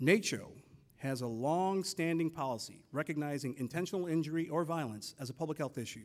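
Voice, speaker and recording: The man talks fairly fast, and his pitch shifts an ordinary amount. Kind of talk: formal conference address. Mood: serious, measured. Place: hall. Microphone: podium.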